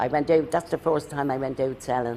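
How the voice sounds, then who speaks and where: With a Dublin accent, a man speaks at a fairly quick pace in a dark, mellow tone marked by vocal fry. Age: 70s. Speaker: retired street trader. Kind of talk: documentary interview.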